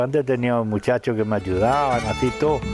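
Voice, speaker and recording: A man speaks over noticeable background noise. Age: 70s. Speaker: rural elder. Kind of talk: testimony.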